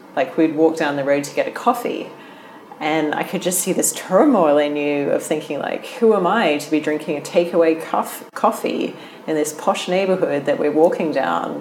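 Noticeable background noise sits behind a woman's very deep, low voice. She speaks at a moderate pace with ordinary pitch variation. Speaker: interviewer, guest host. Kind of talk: casual interview.

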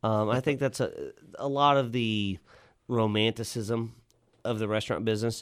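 Speaking in a Texan accent, a man talks at a moderate pace. His medium pitch shows ordinary variation, on a very clean recording with a silent background. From Central Texas (Lockhart). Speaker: restaurant general manager. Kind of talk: interview. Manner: halting, frequent repetitions.

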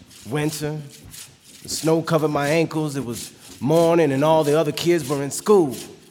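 A fairly high-pitched man at a moderate pace over noticeable background noise. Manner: earnest, impassioned, storytelling.

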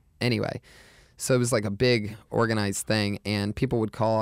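A man with a normal speaking voice, fairly low in pitch with ordinary pitch variation, at a fairly quick pace, on a very clean recording with a silent background and a dry, close sound with no echo. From Youngstown, Ohio. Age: 30s. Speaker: comedian. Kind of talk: casual chat.

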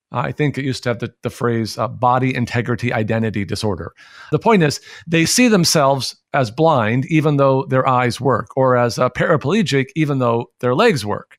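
An ordinary speaking voice from a man, medium in pitch, moderate in pace, with lively intonation, on a very clean recording with a silent background. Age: 40s. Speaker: pastor. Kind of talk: radio interview.

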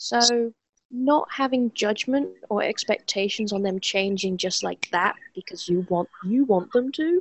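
A woman with an unremarkable speaking voice, fairly high in pitch, talks at a fairly slow pace with lively intonation. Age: 30s. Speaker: former gaming addict. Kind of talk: interview.

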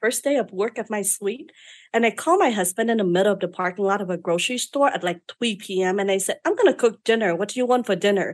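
A woman with a Vietnamese accent at a very fast pace, her fairly high pitch showing ordinary variation. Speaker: beauty business owner. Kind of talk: interview storytelling. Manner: outspoken.

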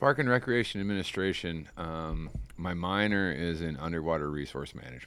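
Talking at a fairly quick clip, a man with a very deep, low voice and an American accent uses lively intonation. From US Midwest. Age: 40s. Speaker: fishing guide. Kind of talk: casual interview chat. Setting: outdoors on a porch.

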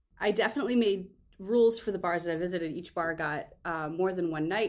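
Her pitch fairly low with ordinary variation, a woman with a normal speaking voice talks at a fairly quick pace. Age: 40s. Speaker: author. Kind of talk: casual interview chat.

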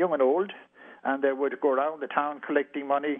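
The speaker is a man with a Kerry accent. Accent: Irish (Kerry). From west of Ireland, County Kerry. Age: old. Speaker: retired police chief. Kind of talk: interview. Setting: phone call.

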